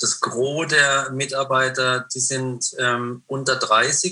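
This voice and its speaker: His intonation is monotone and flat. The speaker is a man with a medium pitch. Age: 50s. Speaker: prayer house founder and author. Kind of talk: interview conversation. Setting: remote call.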